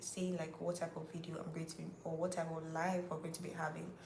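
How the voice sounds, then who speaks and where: In a Nigerian accent, a woman with a fairly low pitch talks amid noticeable background noise and audible room echo. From Nigeria, Rivers State. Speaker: YouTuber hosting a live Q&A. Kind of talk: casual livestream chat with viewers. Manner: chatty, repetitive.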